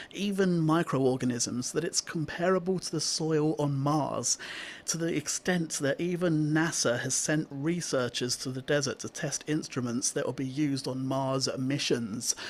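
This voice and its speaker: In a normal speaking voice, a man with a fairly high pitch talks at a moderate pace with hardly any pauses and ordinary pitch variation. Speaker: radio show presenter. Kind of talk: radio show presenter talking to listeners. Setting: radio studio.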